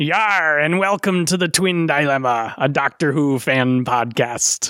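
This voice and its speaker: A man puts on a character voice pitched fairly high. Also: fairly slow pace, very clean recording, silent background. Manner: exaggerated, put-on.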